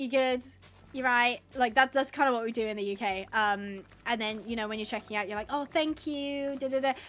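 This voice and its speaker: Speaking at a moderate pace, a woman has a high pitch and ordinary pitch variation. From England. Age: 20s. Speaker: gaming livestreamer. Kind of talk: casual chat. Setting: livestream. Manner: animated.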